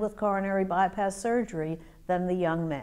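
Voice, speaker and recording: In a quiet setting, a woman speaks with a dark, mellow tone. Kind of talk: interview answer. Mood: calm, measured, serious. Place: meeting room. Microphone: lapel.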